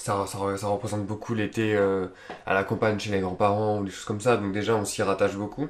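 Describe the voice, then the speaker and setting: A man with a fairly low voice, talking at a fairly quick pace in a flat monotone. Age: 20s. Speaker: film student. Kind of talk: casual interview. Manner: hesitant, many fillers.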